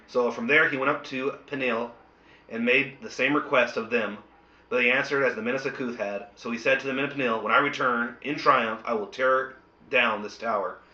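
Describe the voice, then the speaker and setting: At a fairly quick pace, a man speaks at a medium pitch with monotone, flat intonation, through noticeable background noise and audible room echo. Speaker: bible study host. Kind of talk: bible study discussion.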